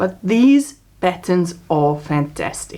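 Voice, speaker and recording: This woman speaks with a South African accent. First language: Afrikaans. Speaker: crochet vlogger. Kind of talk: casual craft vlog. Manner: chatty, hesitant fillers.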